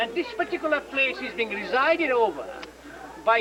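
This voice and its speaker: With noticeable background noise around him, a man speaks in an extremely high pitch with lively intonation. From Nepal, Kathmandu. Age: 50s. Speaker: tour guide. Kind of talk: guided tour explanation. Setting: outdoors.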